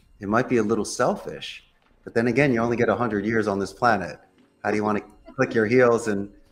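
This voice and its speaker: Music plays in the background as a man with an American accent speaks at a fairly low pitch. His intonation is fairly even and his pace fairly quick. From US Northeast, Philadelphia. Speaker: call center CEO. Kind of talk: casual interview.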